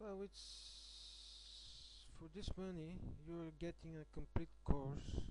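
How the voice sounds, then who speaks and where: The speaker goes at a very slow pace with big swings in loudness. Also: man. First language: not English. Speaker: affiliate marketer reviewing a course. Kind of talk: screen-recorded product review walkthrough. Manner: hesitant, many filler sounds.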